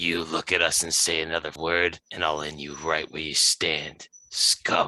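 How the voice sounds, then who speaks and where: Putting on a character voice, a man sounds guttural and raspy at a very deep, low pitch, flat and monotone, in a dry, close sound with no echo. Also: moderate pace. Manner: menacing, intimidating.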